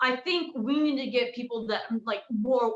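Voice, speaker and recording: Pitched high, a woman talks with ordinary variation in her pitch. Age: 20s. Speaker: country music singer-songwriter. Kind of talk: casual chat. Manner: halting.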